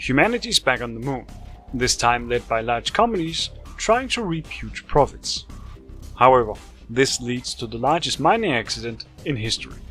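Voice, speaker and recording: Music plays in the background. A man with a non-native accent speaks at a moderate pace. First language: not English. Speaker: game reviewer. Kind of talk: video game review narration.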